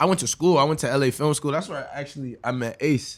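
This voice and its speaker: A man with a Los Angeles accent, relaxed tone and ordinary pitch variation. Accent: Los Angeles skater-style speech. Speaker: artist collective member. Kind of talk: casual podcast conversation. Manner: relaxed, slangy.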